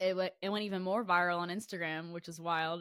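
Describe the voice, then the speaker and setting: Speaking in a Southern US accent, a woman talks at a fairly quick pace with a fairly low pitch. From Florida. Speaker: singer-songwriter. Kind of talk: casual interview.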